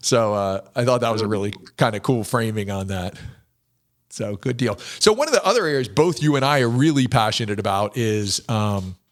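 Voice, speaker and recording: Here is a man with an unremarkable speaking voice, medium pitch and ordinary pitch variation. He talks at a fairly quick pace in a very clean recording with a silent background. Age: 60s. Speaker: podcast host. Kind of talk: casual interview conversation.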